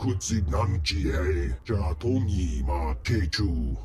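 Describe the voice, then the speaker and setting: Over clear background noise, a man growls very slowly in a put-on character voice. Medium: video game. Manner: speaks alien language.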